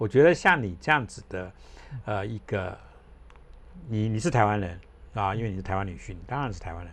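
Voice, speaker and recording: A man with a fairly low pitch, lively intonation, big swings in loudness and a fairly quick pace broken by long, frequent pauses. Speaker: podcast host. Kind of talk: casual interview chat.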